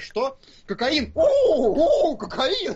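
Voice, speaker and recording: A put-on character voice, high-pitched and at a fairly slow pace. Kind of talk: mocking. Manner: exaggerated, absurd mimicry.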